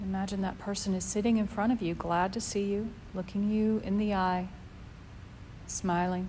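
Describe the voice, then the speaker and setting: In a calm, gentle tone that is also dark and mellow, a woman speaks at medium pitch, somewhat breathy, with monotone, flat intonation, very even loudness, and long, frequent pauses. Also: moderate pace. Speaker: meditation teacher. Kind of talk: guided meditation. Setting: live class, group. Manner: calm, gentle, with long pauses.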